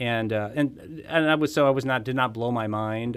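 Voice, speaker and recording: With ordinary pitch variation and a medium pitch, a man talks in a plain, everyday voice. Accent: American. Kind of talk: casual political interview. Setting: studio.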